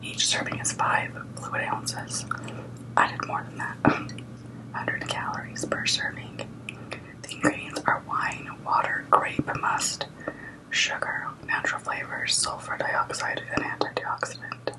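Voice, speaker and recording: A whisper at a fairly slow pace, broken by long, frequent pauses, comes through noticeable background noise. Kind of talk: ASMR eating and whispered talk to camera. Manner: whispered.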